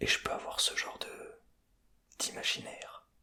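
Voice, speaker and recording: Whispering at a fairly slow pace, a man can be heard through noticeable background noise. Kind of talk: ASMR personality test talk to camera. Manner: whispered, close to the microphone.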